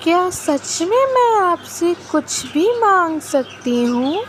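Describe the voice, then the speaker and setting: In a cartoonish character voice, a woman talks at an extremely high pitch and a very slow pace over clear background noise. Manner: earnest, pleading.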